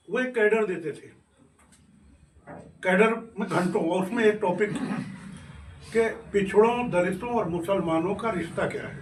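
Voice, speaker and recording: A man with a high pitch and ordinary pitch variation speaks with long, frequent pauses and big swings in loudness. Audible room echo and noticeable background noise fill the recording. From western Uttar Pradesh, Meerut. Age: 60s. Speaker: politician, former state minister. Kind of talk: interview. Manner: animated.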